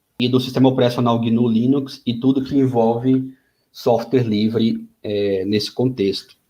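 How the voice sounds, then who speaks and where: This is a man speaking at a medium pitch. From Brazil, Maceió (Alagoas, Northeast). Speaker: software developer, invited speaker. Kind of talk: webinar talk. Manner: halting, many fillers.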